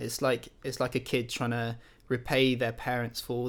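A man speaks with a British accent. His pitch is medium and his pace moderate. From France (English father, German mother). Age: 20s. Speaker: worship leader, church intern. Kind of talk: casual interview. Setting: remote call.

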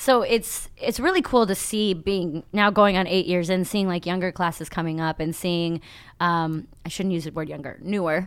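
With a Midwestern American accent, a woman of fairly low pitch talks at a moderate pace with ordinary pitch variation. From Ohio. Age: 30s. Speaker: comedian. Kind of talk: casual chat. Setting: studio.

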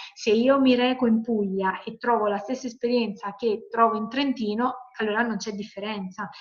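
In a Campanian accent, a woman speaks at a moderate pace with hardly any pauses, her fairly high voice somewhat breathy and her intonation monotone and flat. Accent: Campanian Italian. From Salerno, Campania, Italy. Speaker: environmental engineer and sustainable tourism auditor. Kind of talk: webinar talk answering questions. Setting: video call.

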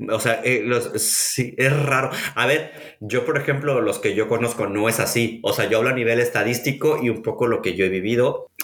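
Against noticeable background noise, a man at medium pitch keeps a moderate pace with hardly any pauses, very even loudness and ordinary pitch variation. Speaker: podcast host. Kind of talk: casual chat.

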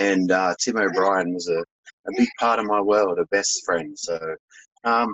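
A man with an Australian accent. His pitch sits fairly low. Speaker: holistic health business owner. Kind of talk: interview.

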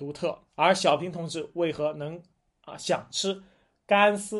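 This man's high voice moves at a fairly slow pace with ordinary pitch variation. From China, Jiangsu (Huai'an). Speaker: history and food podcast host. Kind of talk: solo monologue talk. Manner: conversational with many fillers.

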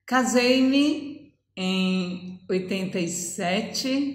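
Audible room echo surrounds a woman's voice. She speaks with a fairly high pitch and lively intonation. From Brazil, Ceará (Northeast). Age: 50s. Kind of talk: testimony.

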